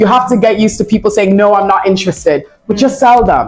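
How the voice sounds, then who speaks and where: Very fast speech comes from a woman with a fairly high pitch. Noticeable background noise is present. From Ireland. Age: young. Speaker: property broker. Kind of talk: interview. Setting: property office.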